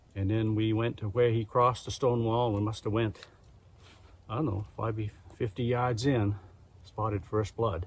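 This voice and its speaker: At a moderate pace, a man with a medium-pitched, somewhat breathy voice speaks. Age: 70s. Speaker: hunter. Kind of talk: storytelling.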